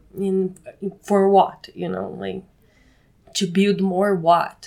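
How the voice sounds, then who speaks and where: A woman speaks in a Brazilian accent at a medium pitch. Her intonation is monotone and flat. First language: Portuguese. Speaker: co-living space manager. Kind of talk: interview. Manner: halting.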